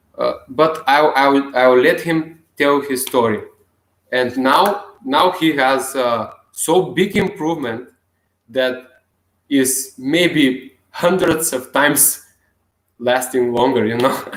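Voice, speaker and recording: Speaking at a very slow pace with a non-native accent, a man with a fairly high pitch uses ordinary pitch variation. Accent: non-native English speaker. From Bulgaria. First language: Bulgarian. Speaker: self-help video blogger. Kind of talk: casual vlog monologue. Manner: halting.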